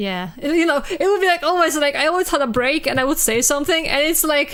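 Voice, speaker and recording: At a very fast pace, a woman speaks high-pitched with lively intonation and very even loudness. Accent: Polish. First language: Polish. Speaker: streamer. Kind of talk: casual chat.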